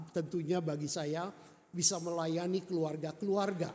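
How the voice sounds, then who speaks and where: This man's voice sits high in pitch and has a dark, mellow tone. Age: 70. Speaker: retired pastor. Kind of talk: sermon. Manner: halting.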